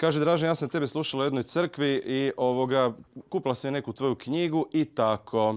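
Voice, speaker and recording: A man is speaking. The background is quiet. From Croatia, Zagreb. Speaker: preacher. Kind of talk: sermon. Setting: church. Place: church. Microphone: handheld.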